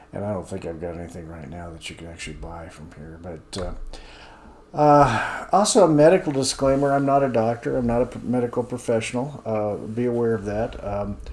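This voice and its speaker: Moderate pace with hardly any pauses, very wide pitch swings and big swings in loudness. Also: man, medium pitch for a man. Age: 70s. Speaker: senior health video host, accountant. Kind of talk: informal talk-to-camera explainer. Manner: hesitant, many fillers.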